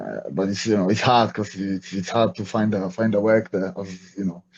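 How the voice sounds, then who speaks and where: In a Polish accent, a man with a fairly low pitch talks at a moderate pace with monotone, flat intonation. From Poland, small town. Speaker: MMA fighter and coach. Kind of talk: interview. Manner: halting, many fillers and repetitions.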